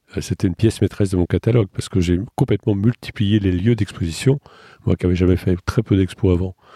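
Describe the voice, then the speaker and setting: A man talks very fast in a fairly low, somewhat breathy voice with a dark, mellow tone and ordinary pitch variation, on a very clean recording with a silent background. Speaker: children's author and artist. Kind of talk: interview. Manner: hesitant, many repetitions.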